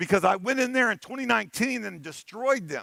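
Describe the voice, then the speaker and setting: A man with an American accent uses a raised, projected voice, high pitched and bright, sharp in tone, animated with lively intonation. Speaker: conference keynote speaker, penetration tester. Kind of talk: conference talk. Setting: stage with audience.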